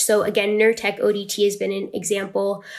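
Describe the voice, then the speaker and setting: A woman speaks at a medium pitch. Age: 20s. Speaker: patient advocate. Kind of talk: interview.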